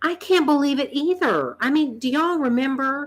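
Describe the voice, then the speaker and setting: A woman talks at a moderate pace. She speaks with a North Carolina accent. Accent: Southern US (North Carolina). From US South, North Carolina. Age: 50s. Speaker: vlogger. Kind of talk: casual chat. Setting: live stream.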